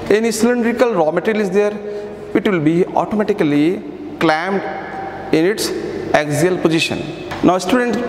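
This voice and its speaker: A man's high voice at a moderate pace, broken by long, frequent pauses, with audible room echo and light background noise. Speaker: workshop instructor. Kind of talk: tutorial. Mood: calm, instructive. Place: workshop.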